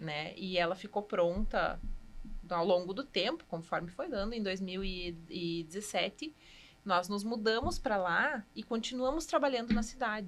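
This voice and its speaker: A woman talks at a fairly slow pace with lively intonation and a medium pitch. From Rio Grande do Sul, Passo Fundo. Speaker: cheesemaker. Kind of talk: podcast interview.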